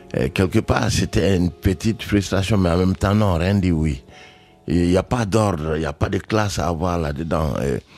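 Music plays in the background. A man with a very deep, low pitch talks at a moderate pace with ordinary pitch variation. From Mali. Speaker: jazz pianist. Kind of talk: radio interview.

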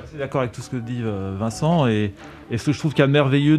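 A man rattles along very fast, his pitch varying in an ordinary way, while noticeable noise sits in the background. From France, Paris area then Alpes-de-Haute-Provence. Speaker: percussionist. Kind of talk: radio interview. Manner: halting, hesitant.

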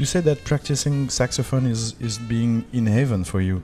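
Over music in the background, a man with a French accent speaks at a moderate pace with lively intonation. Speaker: jazz radio host and interviewer. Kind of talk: live radio interview with interpreting. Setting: live broadcast at a jazz festival. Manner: halting, many hesitations.

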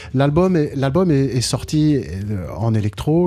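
With lively intonation, a man speaks in a somewhat breathy voice that has a dark, mellow tone. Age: 60s. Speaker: jazz pianist. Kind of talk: radio interview. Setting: radio studio, live broadcast. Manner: halting, with many repeated words.

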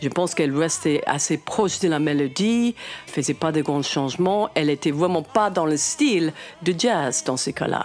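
Lively intonation and very even loudness mark this moderate-paced speech, with noticeable background noise behind it. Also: woman, fairly low pitch for a woman. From United States. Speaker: jazz singer. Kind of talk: interview excerpt.

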